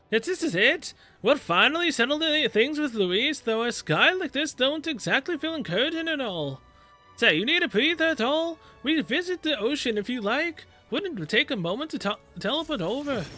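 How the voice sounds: Using a put-on character voice, a man projects loudly at an extremely high pitch and a moderate pace while faint music plays in the background.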